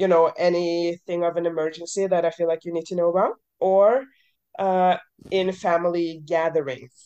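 A woman with a dark, mellow tone speaks at a fairly low pitch and moderate pace, with ordinary pitch variation. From Norway. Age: 30s. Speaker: adoptee sharing experience. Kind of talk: casual group discussion. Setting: video call.

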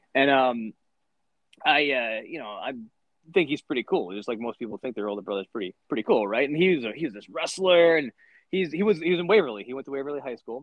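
With an American accent, a man talks at a very fast pace, his intonation lively and his loudness swinging widely. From Michigan. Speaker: former wrestler and wrestling coach. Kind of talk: casual interview chat. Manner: halting, many fillers and repetitions.

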